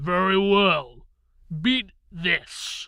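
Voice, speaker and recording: The man puts on a character voice. His pitch is high. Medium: read story. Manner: booming, slow, haughty.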